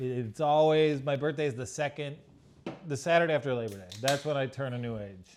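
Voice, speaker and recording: A man with a plain, everyday voice speaks fairly quickly with ordinary pitch variation. The recording is very clean with a silent background. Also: fairly high pitch for a man. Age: 30s. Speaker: podcast guest. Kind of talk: casual interview.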